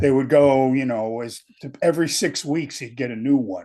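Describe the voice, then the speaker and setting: Spoken at a moderate pace in a dark, mellow tone with a New England accent, the voice sits over a quiet background. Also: man. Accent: New England American. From Connecticut, US. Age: 70s. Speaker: podcast guest. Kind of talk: casual chat.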